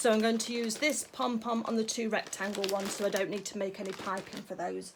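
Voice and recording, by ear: A woman uses a put-on character voice that is raspy and hoarse. Her pitch is medium and her pace fairly quick.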